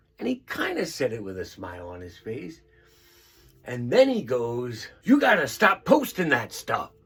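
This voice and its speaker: Over noticeable background noise, a medium-pitched man talks at a moderate pace with very wide pitch swings and big swings in loudness. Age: old. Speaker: storyteller vlogger, stroke survivor. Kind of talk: casual storytelling monologue.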